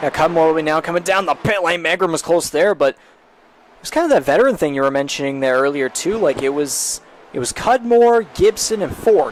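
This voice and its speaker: Noticeable background noise behind a man's high-pitched voice, fairly quick pace and lively intonation. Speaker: sim racing commentator. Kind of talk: live commentary.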